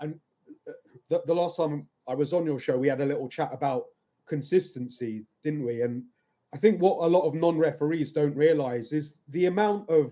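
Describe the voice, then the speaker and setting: This man speaks in an English accent with a fairly high pitch and a dark, mellow tone. His pitch varies in an ordinary way at a fairly quick pace. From England. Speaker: football referee. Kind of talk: casual chat.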